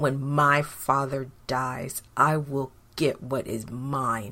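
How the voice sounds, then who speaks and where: Very slow delivery in a monotone, flat intonation. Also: man, medium pitch for a man. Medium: read story. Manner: angry, bitter.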